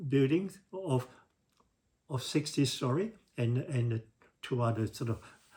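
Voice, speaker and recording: Here a man speaks at a fairly slow pace, somewhat breathy. His intonation is lively. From Singapore. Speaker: civil engineer. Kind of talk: casual talk to camera. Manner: hesitant, repetitive.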